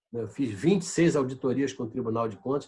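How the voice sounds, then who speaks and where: Fairly quick, somewhat breathy speech from a man. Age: 70s. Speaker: politician and public health manager. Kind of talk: interview.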